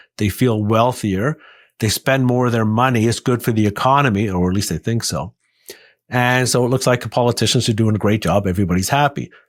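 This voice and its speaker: A man's normal speaking voice at medium pitch, with ordinary pitch variation and a fairly quick pace, on a very clean recording with a silent background. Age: 60s. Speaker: investment consultant and author. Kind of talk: podcast interview.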